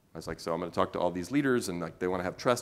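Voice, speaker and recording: Very deep and low in pitch, a man speaks very fast with an American accent and ordinary pitch variation. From US West Coast, Oakland California. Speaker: keynote speaker. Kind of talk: talk to a live audience. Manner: animated.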